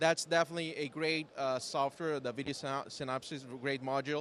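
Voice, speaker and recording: The speaker talks at a fairly quick pace in a Brazilian accent with fairly even intonation. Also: man. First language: Portuguese. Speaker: software company founder and developer. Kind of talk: interview. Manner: halting.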